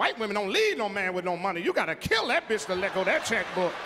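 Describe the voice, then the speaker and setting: Crowd noise fills the background. A man talks over it at a fairly quick pace. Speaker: stand-up comedian. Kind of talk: stand-up comedy routine. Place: stage. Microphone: handheld.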